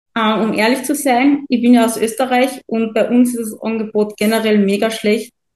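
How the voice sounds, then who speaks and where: Somewhat breathy and fairly high in pitch, a woman speaks with monotone, flat intonation. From Austria, Carinthia. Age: 20s. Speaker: coaching client. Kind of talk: testimonial interview.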